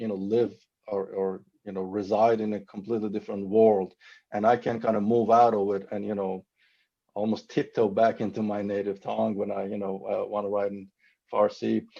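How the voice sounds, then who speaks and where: A man with a Persian accent speaks at a moderate pace with a fairly low pitch and a dark, mellow tone. His intonation stays fairly even against a quiet background. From Iran. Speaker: novelist. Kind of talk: panel discussion. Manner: halting.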